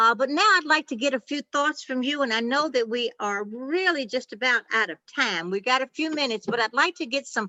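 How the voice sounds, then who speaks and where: Her voice high-pitched, a woman speaks with lively intonation. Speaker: workshop presenter. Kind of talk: workshop wrap-up. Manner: halting.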